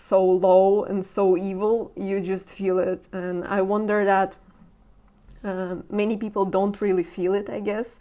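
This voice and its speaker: Shaky and monotone, a woman's medium-pitched voice with a dark, mellow tone moves at a fairly slow pace with flat intonation. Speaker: podcast host. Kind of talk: casual interview conversation. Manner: shaky voice.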